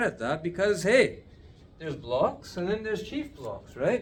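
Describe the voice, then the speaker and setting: A man delivers his words at a moderate pace, with light background noise behind him. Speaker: addiction recovery teacher; teacher of a healing course. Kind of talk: video lesson. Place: office. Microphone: phone near.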